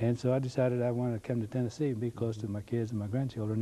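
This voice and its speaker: A man at a medium pitch with an American accent, very fast pace and monotone, flat intonation. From El Paso, Texas. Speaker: community volunteer. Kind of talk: interview. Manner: halting.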